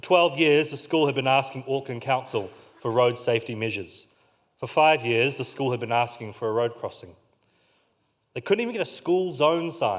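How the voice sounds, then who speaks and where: Moderate pace and ordinary pitch variation, with a New Zealand accent. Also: man, medium pitch for a man. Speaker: community organiser. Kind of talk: conference keynote talk.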